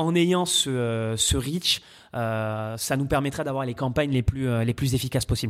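A man speaks at a medium pitch and a fairly slow pace with ordinary pitch variation. The recording is very clean, with a silent background. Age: 30s. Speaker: adtech startup founder, former radio ad salesman. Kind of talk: interview. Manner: hesitant with fillers.

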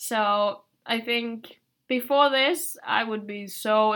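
The woman's tone is bright and sharp, in a Finnish accent. Her intonation stays fairly even. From Finland. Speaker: exchange student. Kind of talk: casual chat.

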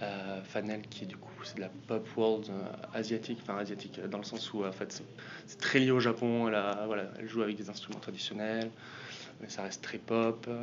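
Over noticeable background noise and audible room echo, a man with a fairly low pitch speaks in a monotone, flat way at a moderate pace, his loudness swinging widely. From southwest France. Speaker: music booker and band manager. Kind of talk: interview. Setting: music industry event. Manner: hesitant, many fillers.

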